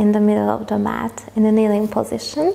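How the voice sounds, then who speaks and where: A woman speaks at a fairly slow pace in a calm, relaxed tone, with noticeable background noise. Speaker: yoga instructor. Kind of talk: yoga class instruction.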